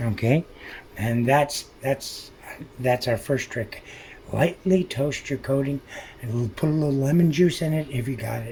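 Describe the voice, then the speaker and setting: A man whispers at a moderate pace. Long, frequent pauses break up his speech. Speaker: cooking channel host. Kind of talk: cooking tutorial. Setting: home kitchen. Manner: whispering; casual, halting.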